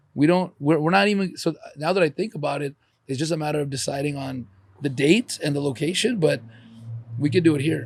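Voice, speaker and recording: A man talks at a fairly quick pace in a plain, everyday voice. His pitch is fairly high, with ordinary pitch variation. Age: 40s. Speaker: podcast host. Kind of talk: casual chat.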